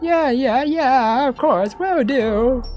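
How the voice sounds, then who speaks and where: Put-on character voice from a man, extremely high in pitch, against clear background noise. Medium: game stream. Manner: curt, gruff.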